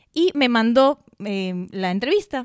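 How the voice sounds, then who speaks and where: Recorded dry and close with no echo and a silent background, a woman speaks in a high pitch with very wide pitch swings. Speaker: podcast co-host, lawyer. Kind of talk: casual chat.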